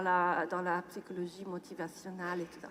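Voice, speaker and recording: A woman speaks at a fairly slow pace. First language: German or English; French learned in childhood (speaking French). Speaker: neuroscientist. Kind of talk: lecture. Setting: stage with audience. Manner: halting, many hesitations.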